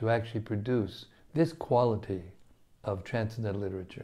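A man's voice has a dark, mellow tone and sounds somewhat breathy. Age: 70s. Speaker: spiritual teacher. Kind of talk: scripture reading with commentary. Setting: studio. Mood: devotional, warm. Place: home room. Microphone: lapel.

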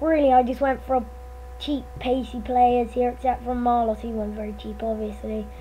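Noticeable background noise fills the recording. Through it, a woman speaks. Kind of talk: casual video game commentary.

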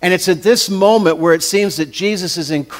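This is a natural reading voice. It is heard reading a passage.

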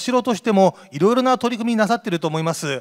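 Against a quiet background, a man speaks at a high pitch. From Kumamoto, Japan (Yatsushiro); Kumamoto, Japan. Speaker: event emcee. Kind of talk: event hosting. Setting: stage with audience. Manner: formal. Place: hall. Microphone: handheld.

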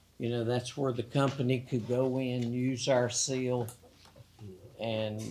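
This speaker has a Southern US accent. The delivery is very slow, with flat, monotone intonation. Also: man. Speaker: mayor chairing council meeting. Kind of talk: council meeting. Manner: formal.

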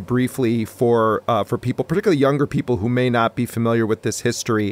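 An ordinary speaking voice from a man at medium pitch, recorded with a dry, close sound and no echo. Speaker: podcast interviewer. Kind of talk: interview question.

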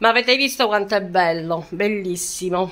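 Ordinary pitch variation marks a woman's speech, which moves at a moderate pace. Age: 60s. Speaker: lifestyle vlogger. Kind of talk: casual vlog talk to viewers. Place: home room. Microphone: phone near.

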